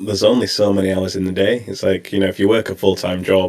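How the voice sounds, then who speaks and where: A man speaks with a British accent at a fairly low pitch. His pace is very fast. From England. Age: 30s. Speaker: streamer. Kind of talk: interview.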